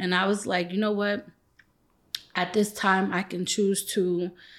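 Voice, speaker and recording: A woman speaks with an American accent at a moderate pace and medium pitch. She has an ordinary speaking voice, on a very clean recording with a silent background. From Brooklyn, New York. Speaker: nonprofit CEO. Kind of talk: interview.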